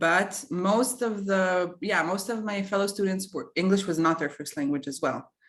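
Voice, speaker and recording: Speaking with a non-native accent, a woman shows typical rises and falls in pitch. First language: not English. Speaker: alumna / former student. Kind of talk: webinar Q&A.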